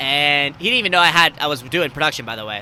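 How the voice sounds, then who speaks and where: Loud and very fast, a man speaks with a fairly high pitch and a bright, sharp tone. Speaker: podcast host. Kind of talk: casual chat.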